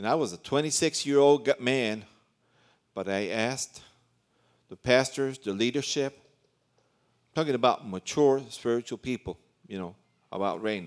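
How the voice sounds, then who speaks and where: The speech moves at a moderate pace with ordinary pitch variation, big swings in loudness and long, frequent pauses. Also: man, medium pitch for a man. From New York City, raised in Central America. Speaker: visiting pastor, preacher. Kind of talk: sermon, preaching. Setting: church.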